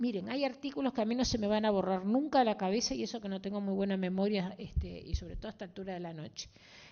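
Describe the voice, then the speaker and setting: Speaking at a very fast pace, a woman uses lively intonation at medium pitch. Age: 60s. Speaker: politician, party representative in a debate. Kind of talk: public debate. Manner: animated.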